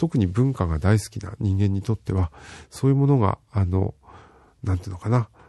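A man with a dark, mellow, somewhat breathy tone talks at a fairly quick pace with ordinary pitch variation, in a dry, close sound with no echo and a quiet background. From Fukushima, Japan. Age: old. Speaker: radio host. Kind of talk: casual radio talk. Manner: relaxed, with many fillers.

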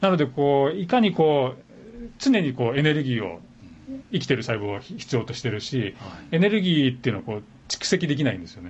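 A man with a fairly high pitch talks at a fairly quick pace, showing very wide pitch swings and big swings in loudness. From Japan, Tokyo. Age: 50s. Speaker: physician and medical professor. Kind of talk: casual interview chat. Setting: radio studio.

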